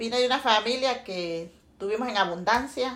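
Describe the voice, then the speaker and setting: Using a plain, everyday voice, a woman speaks fairly slowly at a fairly high pitch with ordinary pitch variation. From Honduras, Santa Bárbara. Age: 50s. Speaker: interviewee, mother. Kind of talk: casual family interview.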